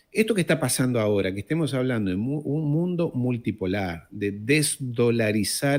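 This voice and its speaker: A man's plain, everyday voice at medium pitch, with lively intonation and a fairly slow pace, on a very clean recording with a silent background. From France, later Argentina. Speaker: geopolitics commentator. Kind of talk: casual interview conversation.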